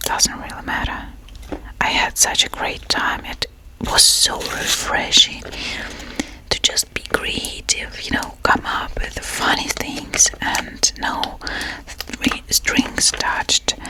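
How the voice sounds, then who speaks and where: A woman is whispering at a very slow pace. There is noticeable background noise. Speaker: freelance artist, ASMR creator. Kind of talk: casual chit-chat ASMR talking to camera. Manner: soft-spoken, whispered, friendly.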